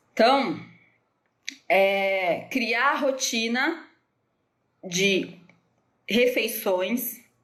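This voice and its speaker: A woman's voice with lively intonation and audible room echo. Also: long, frequent pauses. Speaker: nutritionist. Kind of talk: live stream Q&A talk. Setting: Instagram live from home. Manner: hesitant, many fillers.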